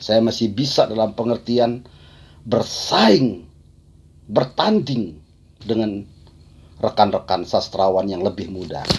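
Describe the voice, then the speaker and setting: A man talks very slowly at a medium pitch, using ordinary pitch variation and long, frequent pauses. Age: 60s. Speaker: poet. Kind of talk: talk on own creative process. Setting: video call. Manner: halting.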